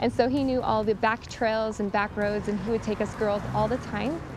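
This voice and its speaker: Music plays behind a woman with an American accent who talks fairly quickly at a fairly high pitch, with ordinary pitch variation. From Idaho. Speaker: local guide. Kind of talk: personal testimony; casual chat.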